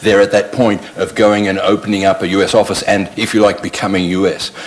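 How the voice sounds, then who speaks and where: A man talks at a very fast pace with a fairly low pitch. Noticeable background noise is present. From Australia. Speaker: panelist. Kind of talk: panel discussion.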